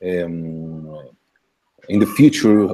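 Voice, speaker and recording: A man with a Spanish accent. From Colombia, Cali. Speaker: university lecturer. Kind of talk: casual video call. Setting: video call. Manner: halting.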